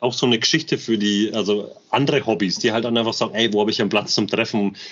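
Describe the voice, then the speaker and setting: Speaking very fast, a man keeps a medium pitch, very even loudness and fairly even intonation. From Bamberg, Franconia, Germany. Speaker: construction metalworker, airsoft gear channel member. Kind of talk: casual interview chat. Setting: in person, guest's man cave.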